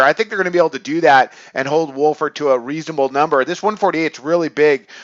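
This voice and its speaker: A plain, everyday voice moves at a fairly quick pace with ordinary pitch variation, recorded in a dry, close sound with no echo against a quiet background. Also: man. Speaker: sports betting analyst. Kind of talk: sports picks commentary monologue. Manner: casual with many fillers.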